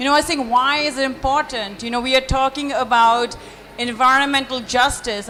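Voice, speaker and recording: A woman's raised, projected voice, high in pitch, at a moderate pace over noticeable background noise. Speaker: panelist. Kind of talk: panel discussion. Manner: loud.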